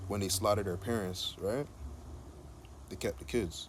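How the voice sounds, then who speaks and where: Vocal fry runs through the fairly low-pitched voice of this man. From Jamaica. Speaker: video blogger. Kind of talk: monologue. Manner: casual.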